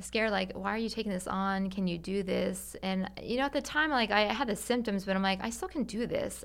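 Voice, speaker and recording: Hers is an unremarkable speaking voice: a woman at medium pitch with ordinary pitch variation, moving at a fairly quick pace. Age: 40s. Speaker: marriage and family therapist. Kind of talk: casual chat.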